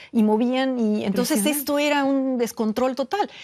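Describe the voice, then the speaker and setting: With a Mexican accent, the speaker goes at a fairly slow pace with ordinary pitch variation. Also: woman. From Mexico. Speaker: neurobiologist. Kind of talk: interview answer. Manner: hesitant, with many fillers.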